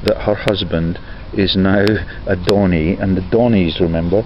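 Over noticeable background noise, the speech goes at a fairly slow pace in a dry sound with no echo. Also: man. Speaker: video blogger. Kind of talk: casual vlog commentary on images. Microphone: phone near.

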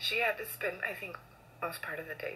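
A woman speaks at a moderate pace. Light background noise sits behind her. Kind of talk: casual selfie video tribute. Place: home room. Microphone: phone near.

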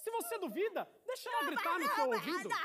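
Someone speaks with a Brazilian accent over noticeable background noise. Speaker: spoken word poet. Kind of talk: slam poetry performance. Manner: animated; punchy, rhythmic, numbered points. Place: stage. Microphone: studio mic.

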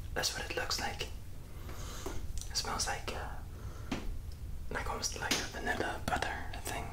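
Whispering proceeds at a moderate pace. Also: man. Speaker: ASMR creator. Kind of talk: casual vlog chat. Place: bathroom. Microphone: phone near.

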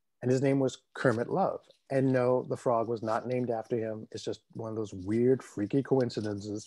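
A man with an American accent speaks at a moderate pace in a dark, mellow tone. His intonation stays fairly even against a quiet background. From US. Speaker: puppeteer; guest. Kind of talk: interview. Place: home room. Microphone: video call.

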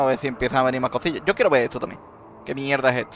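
A man's Andalusian accent and lively intonation over noticeable background noise. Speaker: gaming content creator. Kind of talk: casual gameplay commentary.

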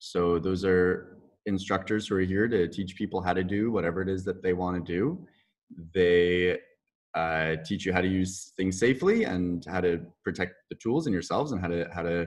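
Over a quiet background, a man talks at a moderate pace in a very deep, low pitch with fairly even intonation. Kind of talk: interview answer. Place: workshop. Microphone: webcam.

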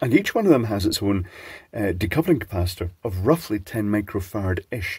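Speaking at a fairly quick pace, a man with a fairly low pitch sounds somewhat breathy and uses lively intonation, in a very clean recording with a silent background. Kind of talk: casual electronics teardown talk.

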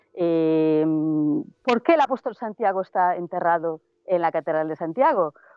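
A woman with an unremarkable speaking voice, fairly low-pitched, with ordinary pitch variation, very even loudness and a moderate pace, in a dry sound with no echo and a quiet background. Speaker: field reporter. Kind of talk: on-location report. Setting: outdoors, remote video link. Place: open country. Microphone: earbuds.

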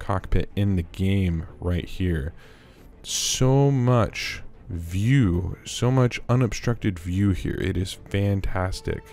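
A man with a fairly low pitch and ordinary pitch variation speaks at a very slow pace. Music plays in the background. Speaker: gaming YouTuber. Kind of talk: game ship tour narration. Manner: enthusiastic.

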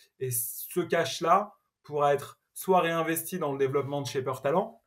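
In a quiet background, a man speaks at a fairly high pitch, somewhat breathy, with ordinary pitch variation. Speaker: tech entrepreneur; podcast guest. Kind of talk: interview. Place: home room.

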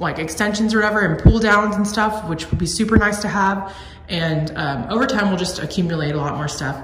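A woman's pitch varies in an ordinary way amid noticeable background noise. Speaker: vlogger. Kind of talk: casual vlog chat. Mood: happy, content. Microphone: phone near.

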